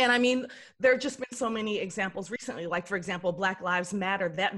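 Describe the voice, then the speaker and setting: An American accent marks this woman's speech. She talks at a very fast pace with ordinary pitch variation. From Texas, Dallas. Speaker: actress and writer. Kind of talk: casual chat.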